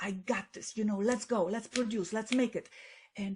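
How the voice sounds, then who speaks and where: A woman with a Polish accent has a somewhat breathy, fairly high-pitched voice and fairly even intonation. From Poland. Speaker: best-selling author and public speaker. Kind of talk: podcast interview.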